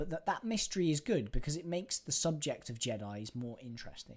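A man speaks with an English accent in a somewhat breathy voice. His pace is moderate and his pitch swings very widely. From England. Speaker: podcast co-host. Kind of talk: casual chat. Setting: in person, streaming live.

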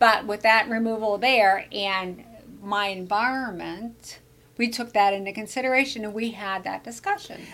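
A woman talks at a moderate pace in an ordinary speaking voice. Her pitch is fairly high and her intonation fairly even. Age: 60s. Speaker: podcast host and brain health coach. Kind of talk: casual interview. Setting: studio at a wellness center.

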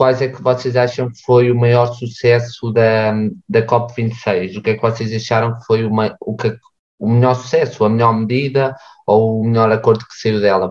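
With a plain, everyday voice, a man talks at a moderate pace with fairly even intonation but big swings in loudness. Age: 20s. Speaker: student podcast host. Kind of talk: casual chat.

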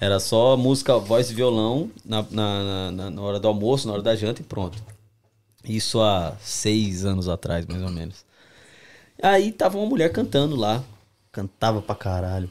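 In a very clean recording with a silent background, a man with an unremarkable speaking voice talks at a medium pitch with lively intonation. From Brazil, São Paulo city. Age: 20s. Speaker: singer, lead vocalist of a pagode group. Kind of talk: casual chat.

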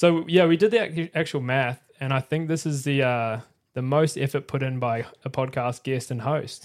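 In a very clean recording with a silent background, a man with an Australian accent speaks at a moderate pace, his pitch fairly high with ordinary variation. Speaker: podcast host. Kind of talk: casual chat. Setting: live-streamed podcast studio.

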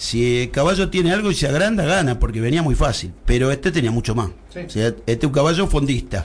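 Speaking at a fairly quick pace with hardly any pauses, a man uses a fairly high voice that swings very widely in pitch. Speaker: horse racing commentator. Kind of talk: casual chat.

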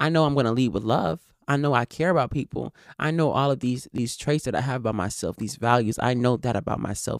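On a very clean recording with a silent background, the words rush out at a very fast pace. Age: 20s. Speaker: solo podcast host. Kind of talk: personal monologue. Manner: casual, self-correcting.

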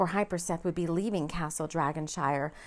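Heard on a very clean recording with a silent background, a woman speaks at a fairly low pitch and a moderate pace in an animated, dramatic tone. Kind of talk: fairy-tale audiobook narration. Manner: storyteller's lilting read, animated, dramatic.

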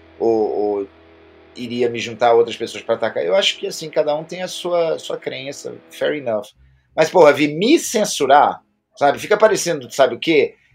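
Music plays in the background as a man speaks at a moderate pace. His fairly high pitch carries lively intonation. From Brazil. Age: 50s. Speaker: internet commentator and teacher. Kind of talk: casual interview.

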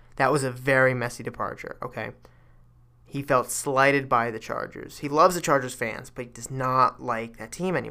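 A man speaks at a medium pitch with a bright, sharp tone, fairly even intonation, and big swings in loudness. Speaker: sports podcast host. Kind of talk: solo sports commentary podcast. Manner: fast; filler-heavy, casual.

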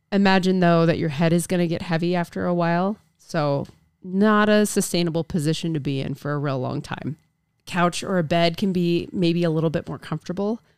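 A woman with a fairly low pitch and ordinary pitch variation talks at a fairly quick pace in a normal speaking voice, on a very clean recording with a silent background. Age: 30s. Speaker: podcast co-host. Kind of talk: casual chat.

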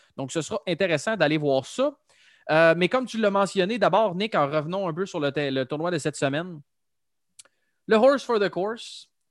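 With a Quebec accent, a man speaks at a high pitch with lively intonation and long, frequent pauses. The sound is dry and close, with no echo. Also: moderate pace, quiet background. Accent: Québécois French. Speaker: golf podcast host. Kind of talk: casual chat.

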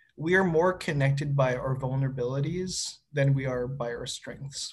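Somewhat breathy, the voice moves at a moderate pace with a Canadian accent. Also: man. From Winnipeg, Manitoba, Canada. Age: 30s. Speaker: city planner. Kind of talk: casual conversation. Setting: video call.

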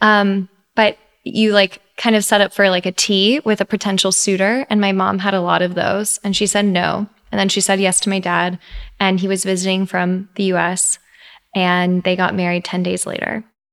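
A woman's medium-pitched voice in a monotone, flat intonation, with an American accent, at a moderate pace, in a dry, close sound with no echo. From Texas, Iranian family. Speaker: podcast co-host. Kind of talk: casual chat; scripted narration.

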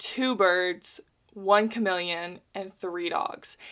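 At a very slow pace, a woman speaks with fairly even intonation. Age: 20s. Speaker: podcast host. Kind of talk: personal monologue. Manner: chatty, frequent laughter.

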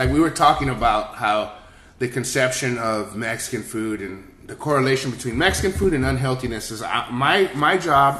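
Amid noticeable background noise, a man with an American accent and a medium pitch speaks at a moderate pace, with ordinary pitch variation and big swings in loudness. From San Antonio, Texas. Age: 40s. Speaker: chef. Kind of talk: casual chat.

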